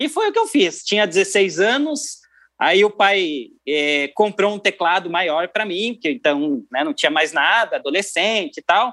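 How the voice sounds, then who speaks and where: A raised, projected voice in a southern Brazilian accent, bright and sharp in tone, with very wide pitch swings, a fairly slow pace and hardly any pauses, on a very clean recording with a silent background. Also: man, high pitch for a man. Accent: southern Brazilian (gaúcho) Portuguese. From Rio Grande do Sul, Brazil (Cruz Alta). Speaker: keyboardist and music producer. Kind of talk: interview.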